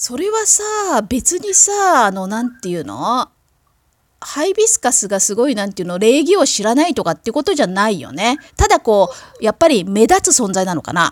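A high-pitched woman's voice, very wide pitch swings, and a moderate pace. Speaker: podcast host. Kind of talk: casual chat.

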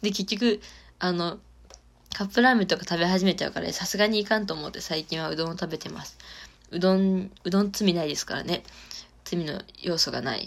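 Speaking at a fairly quick pace, a woman has an ordinary speaking voice at a medium pitch, with ordinary pitch variation and big swings in loudness. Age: 20s. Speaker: solo podcaster. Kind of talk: casual monologue.

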